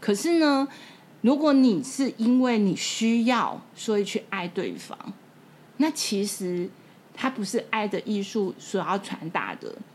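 Somewhat breathy and fairly high-pitched, a woman speaks very slowly with lively intonation. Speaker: podcast host and bookstore owner. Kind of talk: casual chat.

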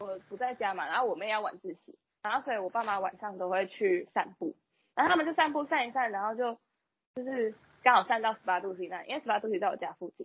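Talking at a very fast pace, a woman with a fairly high pitch uses lively intonation. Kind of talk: casual chat.

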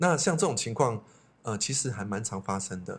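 Over a silent background in a very clean recording, a man speaks at a fairly quick pace in a fairly low pitch, somewhat breathy, with lively intonation. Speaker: psychology expert, teacher, podcast co-host. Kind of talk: casual chat.

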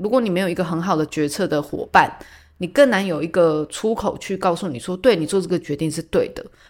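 On a very clean recording with a silent background, a woman with an ordinary speaking voice talks at a fairly quick pace with lively intonation. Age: 30s. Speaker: podcast host. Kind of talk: casual solo talk.

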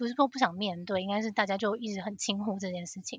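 The voice is somewhat breathy, with a Taiwanese accent. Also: woman. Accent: Taiwanese Mandarin. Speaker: financial analyst. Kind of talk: casual interview chat.

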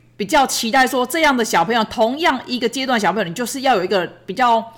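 A woman's voice at a fairly high pitch. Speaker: podcast host, parent of a child with ADHD. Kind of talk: casual monologue. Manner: fast.

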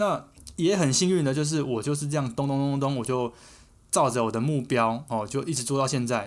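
The speaker uses a normal speaking voice at a fairly quick pace. Pitch variation is ordinary. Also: man, fairly high pitch for a man. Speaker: podcast co-host. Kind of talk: casual chat.

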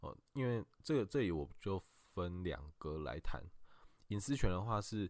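A man speaks with lively intonation in a very clean recording with a silent background. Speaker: lawyer. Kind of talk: expert legal explanation in a podcast interview. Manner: halting, frequent filler sounds.

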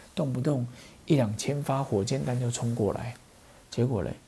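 A man at a medium pitch with a Taiwanese accent, somewhat breathy, at a moderate pace with ordinary pitch variation. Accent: Taiwanese Mandarin. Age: 40s. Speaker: pharmacist podcast host. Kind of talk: casual poetry commentary. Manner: animated.

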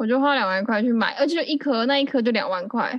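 Speaking at a very fast pace, a woman uses a high pitch with ordinary variation. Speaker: podcast host. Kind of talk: casual chat.

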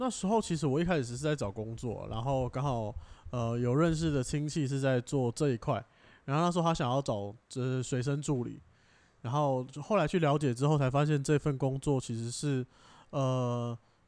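A man speaks in a plain, everyday voice at a medium pitch. His pace is moderate, and his pitch variation is ordinary. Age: young. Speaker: traditional Chinese medicine assistant. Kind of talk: casual chat.

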